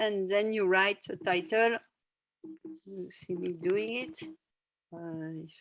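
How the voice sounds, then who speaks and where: A woman with a French accent at a medium pitch, very slow, with long, frequent pauses, ordinary pitch variation and big swings in loudness. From France. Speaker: workshop facilitator. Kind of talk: guided workshop instructions. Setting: video call.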